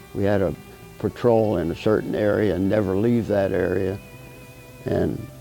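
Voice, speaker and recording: An American-accented man at a moderate pace, with music in the background. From Pennsylvania, USA. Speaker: war veteran. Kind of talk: interview answer.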